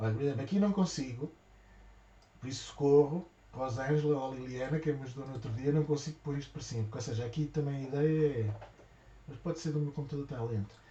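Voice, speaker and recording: A man speaks very fast and softly in a European Portuguese accent. He leaves long, frequent pauses. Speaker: craft shop owner. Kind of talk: live tutorial. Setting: livestream. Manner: soft-spoken; halting.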